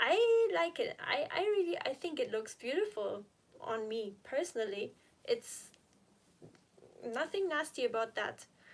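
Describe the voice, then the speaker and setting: The speaker has a non-native accent, leaves long, frequent pauses and makes very wide pitch swings. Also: woman, high pitch for a woman, fairly slow pace. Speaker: health and recovery vlogger. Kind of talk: live stream Q&A. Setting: live stream from home. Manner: chatty, informal.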